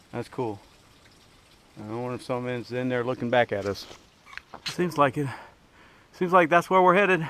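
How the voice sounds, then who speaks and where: A man's medium-pitched voice at a moderate pace, with lively intonation and long, frequent pauses. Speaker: hiker vlogger. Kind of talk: casual vlog narration. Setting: outdoors on a hiking trail. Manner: quiet.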